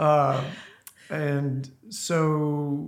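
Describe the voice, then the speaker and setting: There is audible room echo. A man talks in a Southern US accent. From US South, northern Louisiana. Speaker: church member. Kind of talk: testimony.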